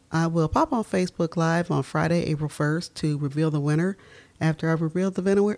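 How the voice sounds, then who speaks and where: At a moderate pace, a speaker with an American accent comes through on a very clean recording with a silent background. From Dayton, Ohio, US Midwest. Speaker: true crime podcaster. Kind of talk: scripted-style true crime narration with casual commentary. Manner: casual, conversational, expressive.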